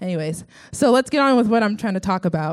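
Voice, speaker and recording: A woman with an American accent and a medium-pitched voice talks at a very fast pace with lively intonation on a very clean recording with a silent background. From Texas, Sugar Land. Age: 20s. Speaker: church student giving testimony. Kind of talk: testimony.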